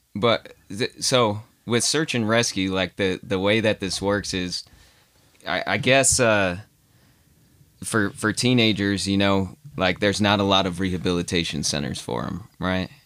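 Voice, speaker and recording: A man speaks at a fairly slow pace in an unremarkable speaking voice. His pitch is fairly low, with ordinary variation. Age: 30s. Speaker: podcast guest. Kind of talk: casual chat.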